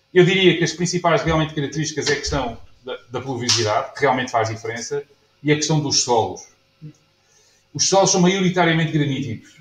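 A man with a fairly high pitch and lively intonation talks at a fairly quick pace with long, frequent pauses, while light background noise and audible room echo surround him. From Portugal. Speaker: winemaker. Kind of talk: lecture. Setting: stage with audience. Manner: halting. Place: bar. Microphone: camera far.

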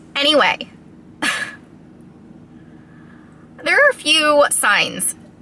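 A woman is speaking. The sound is dry with no echo, and there is light background noise. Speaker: vlogger. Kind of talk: casual vlog chat. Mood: unsure, confiding. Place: car. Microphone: phone near.

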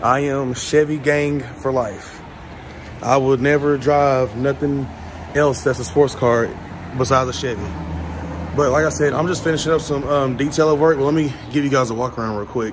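There is noticeable background noise as a man speaks at a moderate pace. His intonation is fairly even. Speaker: car vlogger. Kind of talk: casual vlog chat. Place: garage. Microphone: phone near.

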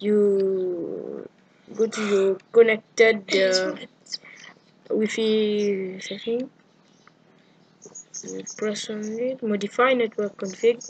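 A woman talks very slowly in a flat, monotone delivery, leaving long, frequent pauses. Her loudness swings widely, and light background noise sits underneath. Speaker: gamer showing a fix. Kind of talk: tutorial screen walkthrough. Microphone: camera far.

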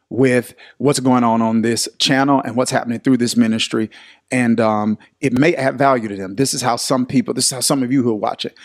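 A man speaks fairly quickly, and the background stays quiet. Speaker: pastor teaching online. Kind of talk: livestream Bible study talk. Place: studio. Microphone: studio mic.

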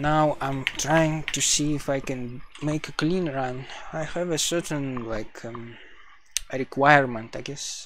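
A man's fairly high voice with a non-native accent, fairly even intonation and a fairly slow pace, over noticeable background noise. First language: not English. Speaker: speedrunner streamer. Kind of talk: casual live stream commentary while gaming.

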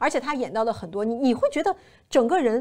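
Lively intonation marks this voice as it moves along at a fairly quick pace. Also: woman. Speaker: TV show host. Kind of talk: casual review commentary. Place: studio. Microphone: lapel.

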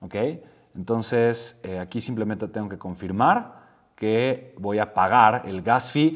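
A man with a fairly low voice speaks very slowly, with big swings in loudness and ordinary pitch variation. The background is quiet. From Mexico. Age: 30s. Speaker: entrepreneur and YouTuber; YouTuber. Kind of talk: tutorial. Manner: animated. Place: home room.

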